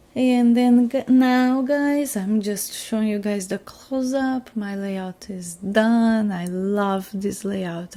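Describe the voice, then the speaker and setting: This woman talks at a very slow pace with a non-native accent. Her tone is dark and mellow, and her pitch varies in an ordinary way. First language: not English. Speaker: scrapbooking crafter. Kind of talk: crafting process voiceover. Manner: halting, with fillers.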